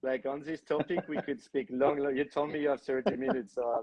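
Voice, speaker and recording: A man with a French accent speaks at medium pitch. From France. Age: 30s. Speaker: film director. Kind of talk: podcast interview. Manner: hesitant, many fillers.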